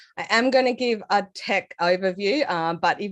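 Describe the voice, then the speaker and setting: Against a quiet background, a woman with an Australian accent speaks at medium pitch. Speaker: developer advocate. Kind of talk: technical talk. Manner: casual with many fillers.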